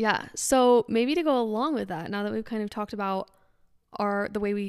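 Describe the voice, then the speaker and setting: A woman with a plain, everyday voice speaks at a medium pitch on a very clean recording with a silent background. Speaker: podcast host. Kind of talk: casual chat.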